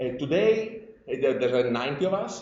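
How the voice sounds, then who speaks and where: Pitch swings very widely in this voice with an Italian accent, delivered at a moderate pace with audible room echo. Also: man. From Italy. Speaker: industry scientist. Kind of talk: conference presentation. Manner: halting, many fillers.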